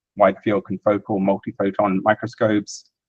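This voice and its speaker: At a moderate pace, a man talks with a New Zealand accent. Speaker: software developer and imaging scientist. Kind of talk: technical presentation. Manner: casual with filler words.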